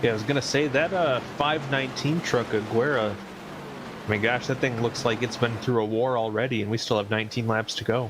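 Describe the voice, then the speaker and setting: A man with an American accent and a medium pitch speaks at a fairly quick pace with ordinary pitch variation, with noticeable background noise behind him. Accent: slight Canadian-sounding. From northern US near Canada. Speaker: sim racing commentator. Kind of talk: live commentary.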